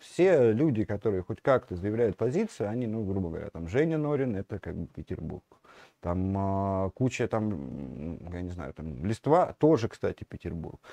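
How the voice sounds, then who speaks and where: Over a quiet background, a man speaks at a moderate pace in a fairly low voice with a dark, mellow tone, very wide pitch swings and big swings in loudness, the sound dry and close with no echo. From Russia, Smolensk. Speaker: media editor-in-chief. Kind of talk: interview, casual chat. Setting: livestream. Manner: halting, many fillers.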